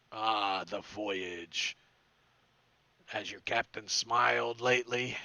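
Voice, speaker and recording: A man's put-on character voice, raspy and fairly low in pitch, at a very slow pace with long, frequent pauses. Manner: probing, ominous, dry.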